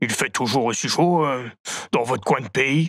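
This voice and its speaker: In a very clean recording with a silent background, a man does a raspy put-on character voice at medium pitch, moderate pace and ordinary pitch variation. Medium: audio drama. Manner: blunt, easygoing.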